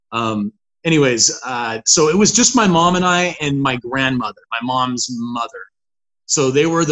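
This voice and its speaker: Speaking at a moderate pace, a man has an unremarkable speaking voice with fairly high pitch and ordinary pitch variation. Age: 40s. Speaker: author and person in recovery. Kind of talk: recovery story interview.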